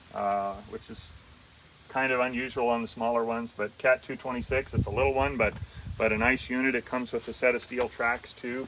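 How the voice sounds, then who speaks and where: At a moderate pace, an ordinary speaking voice carries a fairly even intonation. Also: man. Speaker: auctioneer, equipment dealer. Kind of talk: equipment preview walkthrough narration. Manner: conversational, folksy, with fillers.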